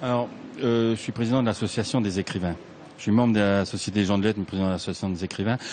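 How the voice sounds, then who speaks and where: The man speaks at a very fast pace with a fairly low pitch. His intonation stays fairly even. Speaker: writer. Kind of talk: interview.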